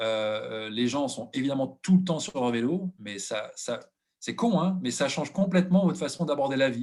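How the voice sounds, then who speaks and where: Using lively intonation, a man with a fairly high pitch talks at a moderate pace. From France. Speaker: expatriate business executive. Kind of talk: webinar testimony. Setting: online webinar. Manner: hesitant with many fillers.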